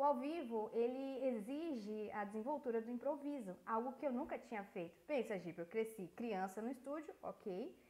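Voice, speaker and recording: A woman speaks at a moderate pace in a high pitch, with hardly any pauses. Her intonation is lively. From Brazil. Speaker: voice-over artist and voice actress. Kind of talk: interview. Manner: animated.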